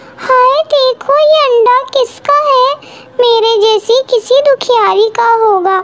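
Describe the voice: A woman uses a cartoonish character voice with an extremely high pitch and a very slow pace. Background noise is clearly heard.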